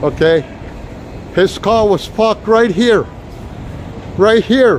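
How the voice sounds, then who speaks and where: Against noticeable background noise, a man with an American accent speaks at a very slow pace with a high pitch. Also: ordinary pitch variation. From New York City. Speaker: walking tour live streamer. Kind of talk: live stream walking tour. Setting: outdoors on city streets. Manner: casual, chatty.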